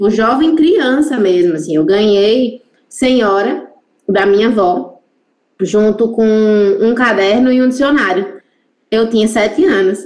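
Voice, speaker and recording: A woman with a fairly high voice speaks at a fairly slow pace, leaving long, frequent pauses. Her loudness stays very even, and her intonation is lively. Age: 30s. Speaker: Lacanian psychoanalyst. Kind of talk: casual chat.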